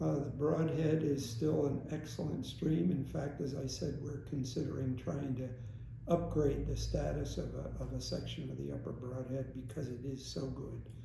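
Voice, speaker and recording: Noticeable background noise surrounds the speaker. A man talks at a moderate pace. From Stroudsburg, Pennsylvania. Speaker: aquatic biologist. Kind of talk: interview answer.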